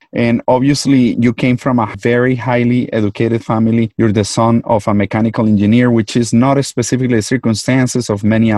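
Talking at a fairly quick pace with hardly any pauses, a man with a Colombian accent uses a medium-pitched, dark and mellow voice, very even loudness and flat, monotone intonation, in a dry, close sound with no echo. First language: Spanish. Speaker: physician and podcast host. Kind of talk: interview.

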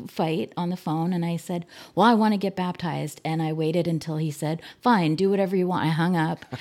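A woman with an American accent has a dark, mellow tone and a fairly low pitch with ordinary variation. The recording is very clean, with a silent background. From US Northeast (New Jersey, New York, Pennsylvania). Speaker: church member, genealogist. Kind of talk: casual interview.

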